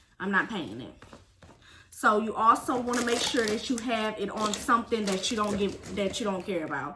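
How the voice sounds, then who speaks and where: An animated woman with an American accent speaks at a fairly high pitch and moderate pace, with ordinary pitch variation. Noticeable background noise sits behind her. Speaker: vlogger. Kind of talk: storytime vlog. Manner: casual, animated.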